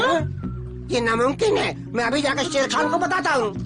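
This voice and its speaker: A put-on character voice at a moderate pace, with loud music in the background. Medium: fan dub. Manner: excitable, snide.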